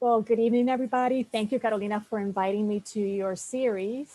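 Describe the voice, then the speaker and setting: A woman's medium-pitched voice, dark and mellow, with a Spanish accent, fairly even intonation and a very fast pace. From New Orleans, US South. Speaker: newspaper editor. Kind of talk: guest talk.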